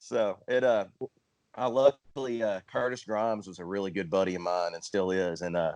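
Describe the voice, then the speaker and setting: This man talks with an East Texas accent. His pitch is fairly low, with ordinary variation. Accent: Southern country drawl, sounds East Texas. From Central Arkansas, US South. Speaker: country singer-songwriter. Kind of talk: casual interview chat.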